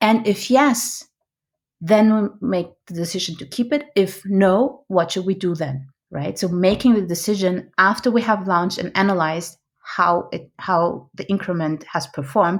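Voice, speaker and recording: With a non-native accent, a woman talks at a moderate pace and a medium pitch, showing ordinary pitch variation and big swings in loudness. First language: not English. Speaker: product management coach and trainer. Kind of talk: interview. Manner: halting.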